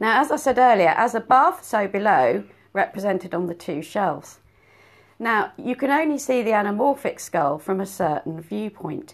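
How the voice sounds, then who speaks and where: In a very clean recording with a silent background, a woman talks at a moderate pace, her fairly high voice making very wide pitch swings. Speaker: podcast host. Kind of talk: casual chat. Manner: animated, joking.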